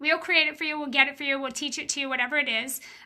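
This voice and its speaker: A woman speaks in a raised, projected voice with a high pitch. Her tone is bright and sharp. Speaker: business coach. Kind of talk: live stream Q&A. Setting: Facebook live video stream. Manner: animated.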